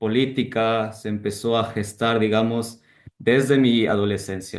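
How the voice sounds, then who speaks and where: A man delivers his words at a fairly slow pace with monotone, flat intonation. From Ecuador, Quito. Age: 20s. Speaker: political candidate and student. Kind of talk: interview.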